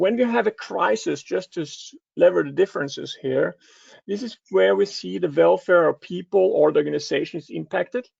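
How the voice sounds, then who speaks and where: A man with a Danish accent speaks at a fairly quick pace, his loudness swinging widely. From Denmark. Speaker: cybersecurity advisor. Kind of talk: conference talk. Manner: halting, many filler sounds.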